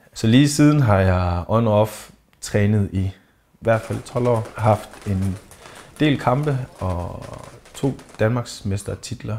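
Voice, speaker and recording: Pausing long and often, a man speaks at a very slow pace in a fairly low voice with ordinary pitch variation. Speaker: thai boxer. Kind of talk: interview.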